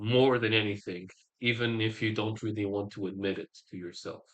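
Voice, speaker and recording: A man's normal speaking voice at a moderate pace, with fairly even intonation. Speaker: podcast host. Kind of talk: interview.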